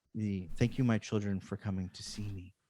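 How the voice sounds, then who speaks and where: A man puts on a booming character voice, fairly low in pitch, delivered at a fairly quick pace in a monotone, flat intonation. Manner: loving, kind.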